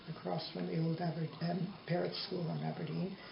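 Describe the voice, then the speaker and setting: A woman at a fairly quick pace, amid audible room echo and noticeable background noise. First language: Yiddish. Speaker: interviewee, mother. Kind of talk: family oral history interview.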